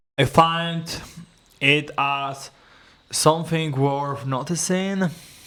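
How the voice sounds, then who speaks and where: Very slowly, a man with a non-native accent speaks in a bright, sharp tone at a fairly high pitch with fairly even intonation. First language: not English. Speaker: English learner and video creator. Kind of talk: solo speaking practice, answering questions. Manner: halting, searching for words.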